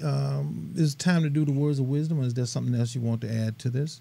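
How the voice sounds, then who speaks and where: Speaking with an American accent, a man uses a dark, mellow tone at medium pitch with ordinary pitch variation. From US South (Mississippi). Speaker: talk radio host. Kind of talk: talk show interview. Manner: loud and boisterous.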